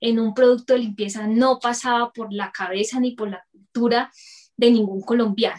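This woman has an unremarkable speaking voice, pitched fairly high. Her intonation stays fairly even. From Colombia, Bucaramanga. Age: 30s. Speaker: entrepreneur, dental lab technician. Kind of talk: interview.

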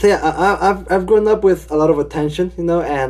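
A man is speaking. His pace is fairly quick. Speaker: podcast host. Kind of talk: religious podcast discussion. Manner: says amen often, hesitant fillers.

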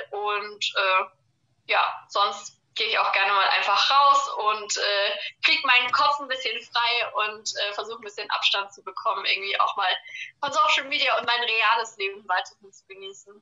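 A woman with an unremarkable speaking voice talks at a fairly high pitch and a moderate pace. Her loudness swings a lot, while her pitch variation is ordinary. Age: 20s. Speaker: social media creator and university student. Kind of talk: interview.

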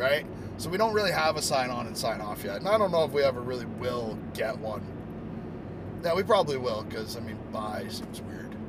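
A man talks at a fairly quick pace and medium pitch, with very wide pitch swings and big swings in loudness. Audible room echo and noticeable background noise fill the recording. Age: 30s. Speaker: podcast host and vlogger. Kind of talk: casual chat. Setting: in a car.

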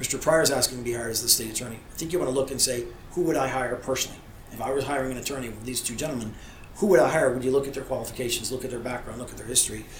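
Over noticeable background noise and audible room echo, a man talks at a very fast pace with big swings in loudness. His pitch is medium and his intonation fairly even. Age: 50s. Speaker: lawyer and political candidate. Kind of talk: interview.

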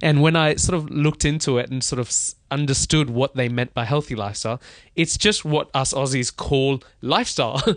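Speaking with a slight Australian accent, a man talks at a fairly quick pace in a fairly high pitch with ordinary pitch variation, in a dry, close sound with no echo and a quiet background. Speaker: business founder. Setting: hotel in London.

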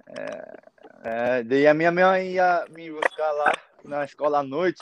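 A man talks at a fairly slow pace. His loudness swings widely from moment to moment. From Japan (born in Brazil, moved as infant). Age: 20s. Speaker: young footballer. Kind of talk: casual interview chat. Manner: halting.

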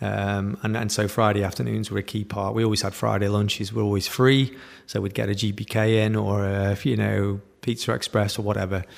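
A man with a British accent speaks at a fairly quick pace in a fairly low pitch, his intonation fairly even. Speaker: digital entrepreneur. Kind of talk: interview.

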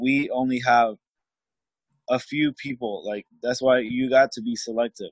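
The speech moves at a fairly slow pace in a monotone, flat intonation, broken by long, frequent pauses. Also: man. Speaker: guest, social media agency owner. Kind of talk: casual interview chat. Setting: online call.

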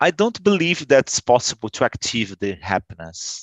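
A man speaks with a Portuguese accent. His pitch swings very widely. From Brazil. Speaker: English learner. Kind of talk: casual chat. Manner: halting.

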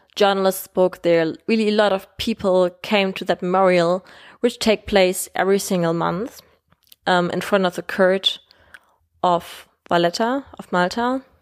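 With a German accent, the speaker talks at a fairly slow pace and with fairly even intonation on a very clean recording with a silent background. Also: woman, medium pitch for a woman. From Germany. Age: 20s. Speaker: podcast host. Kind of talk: solo podcast monologue. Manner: hesitant, many fillers.

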